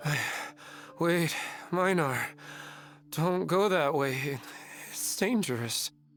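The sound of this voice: A man does a put-on character voice, fairly high in pitch, with a fairly bright tone and lively intonation. He talks slowly over faint background music.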